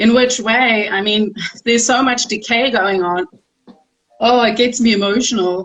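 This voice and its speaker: Fairly high-pitched woman with a South African accent, fairly slow pace, long and frequent pauses, and fairly even intonation. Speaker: round table guest. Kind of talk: casual chat.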